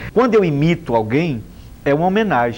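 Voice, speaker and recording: With the room's echo audible, a man delivers his words at a moderate pace. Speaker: comedian. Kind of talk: TV interview.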